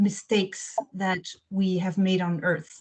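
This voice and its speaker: In a slight French accent, a woman speaks very slowly in a somewhat breathy voice. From Belgium. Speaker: children's book author. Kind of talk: interview talk. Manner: hesitant, many fillers.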